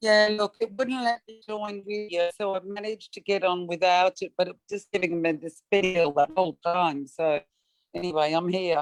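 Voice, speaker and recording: A woman with an Australian accent speaks at a moderate pace and medium pitch, with ordinary pitch variation and big swings in loudness. The sound is dry and close with no echo, and music plays in the background. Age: 60s. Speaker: welfare recipient giving testimony. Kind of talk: testimony.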